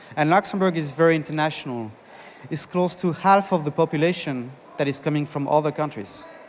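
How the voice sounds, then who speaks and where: Fairly quick and fairly high, a man speaks with a French accent. His pitch variation is ordinary. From France. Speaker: conference speaker, business consultant. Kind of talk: conference talk. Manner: halting.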